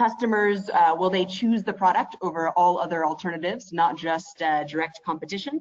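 Quiet background behind her, a woman with an American accent talks at a moderate pace, fairly low in pitch with ordinary pitch variation, in an unremarkable speaking voice. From United States. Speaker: product manager; webinar presenter. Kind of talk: webinar presentation. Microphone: video call.

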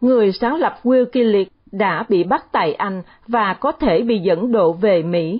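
A woman speaks at a very slow pace, her medium-pitched voice somewhat breathy. Her intonation is lively and her loudness stays very even. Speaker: newsreader. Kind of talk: news reading.

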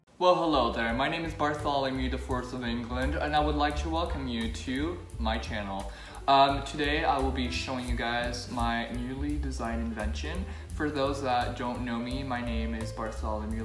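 The speech moves at a moderate pace with audible room echo. Clear music plays in the background. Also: man, very deep, low pitch for a man. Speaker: comedy sketch vlogger. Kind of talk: comedic sketch, mock vlog and testimonials. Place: home room. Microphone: phone near.

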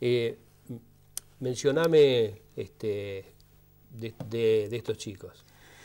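At a very slow pace, a man with a dark, mellow tone speaks with ordinary pitch variation and long, frequent pauses. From Argentina. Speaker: TV host. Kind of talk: interview. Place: studio. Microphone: lapel.

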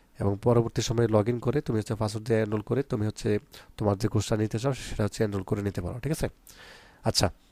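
A man speaks with a dark, mellow tone, a fairly low pitch and fairly even intonation. The recording is very clean with a silent background and a dry, close sound with no echo. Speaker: online English tutor for school pupils. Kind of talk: tutorial; sales pitch. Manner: casual, conversational.

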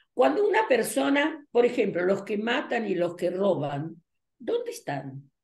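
A woman's fairly high voice with vocal fry and very wide pitch swings, at a fairly slow pace over a quiet background. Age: 80s+. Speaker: numerologist and teacher; teacher. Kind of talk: interview. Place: home room. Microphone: webcam.

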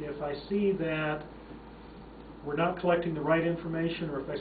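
Over noticeable background noise, a man speaks in a fairly high voice. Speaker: mining software company founder, consultant. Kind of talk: interview answer. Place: meeting room. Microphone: camera far.

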